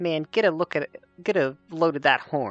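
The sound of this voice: Faint music plays in the background behind a man doing a put-on character voice. His voice is squeaky and fairly high-pitched.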